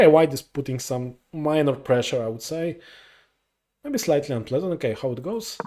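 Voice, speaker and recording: A man with a Polish accent and a dark, mellow tone is heard in a very clean recording with a silent background. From Poland. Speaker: chess commentator. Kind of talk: live commentary. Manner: halting, many fillers.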